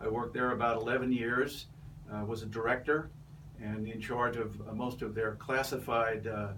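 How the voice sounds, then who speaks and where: A man's medium-pitched voice, flat and monotone at a moderate pace, with audible room echo and noticeable background noise. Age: 70s. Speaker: political candidate, retired Navy captain. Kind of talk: interview. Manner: halting, many fillers.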